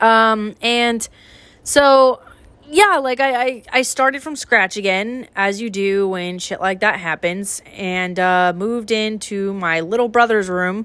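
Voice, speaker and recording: A woman's fairly high voice at a very slow pace with ordinary pitch variation, in a very clean recording with a silent background. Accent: General American. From US West (Idaho). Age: 20s. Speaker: podcast host. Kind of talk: casual chat.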